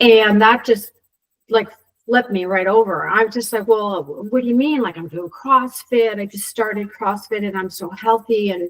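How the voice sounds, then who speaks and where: In an ordinary speaking voice, a woman with a fairly high pitch talks at a moderate pace, showing ordinary pitch variation and big swings in loudness. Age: 60s. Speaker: CrossFit member sharing health story. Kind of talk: casual interview testimony.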